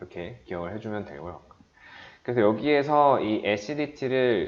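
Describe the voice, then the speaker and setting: A man is speaking. His intonation is lively. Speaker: chemistry lecturer. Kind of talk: lecture.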